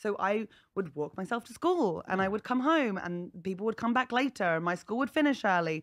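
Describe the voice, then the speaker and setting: Over a quiet background, the speaker talks at a fairly quick pace in a southern English accent, with very wide pitch swings. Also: woman, medium pitch for a woman. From England, North East Hampshire; England. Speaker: comedian. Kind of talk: casual chat. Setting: comedy festival podcast recording. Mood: humorous, candid. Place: studio. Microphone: studio mic.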